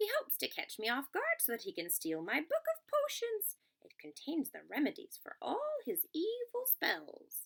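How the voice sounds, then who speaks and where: In a put-on character voice, a woman talks at a moderate pace with an extremely high pitch and hardly any pauses. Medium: read story. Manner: brisk, gruff.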